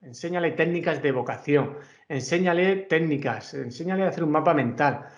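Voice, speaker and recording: A man with a Murcian accent, lively intonation and a moderate pace, with audible room echo. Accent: Murcian Spanish, drops letters. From Murcia, Spain. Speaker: university professor. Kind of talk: conference talk. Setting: video call.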